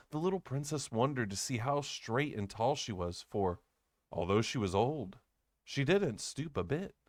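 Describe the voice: The delivery is plain reading aloud with lively intonation. The background is quiet.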